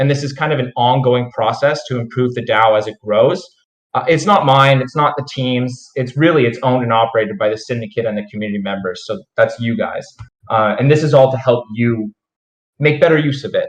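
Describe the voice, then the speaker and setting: Pitched in the medium range, a man talks at a fairly quick pace with ordinary pitch variation. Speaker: crypto project team member. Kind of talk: project update report.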